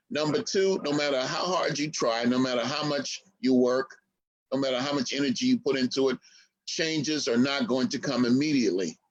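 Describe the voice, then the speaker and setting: An ordinary speaking voice: a man with an American accent, fairly high pitch, ordinary pitch variation, and a fairly quick pace. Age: 60s. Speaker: historian and activist. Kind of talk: interview.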